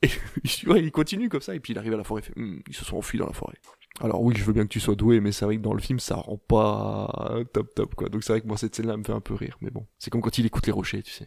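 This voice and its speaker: A man's voice with vocal fry, at a very fast pace. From Belgium. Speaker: film podcast panelist. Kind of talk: casual chat.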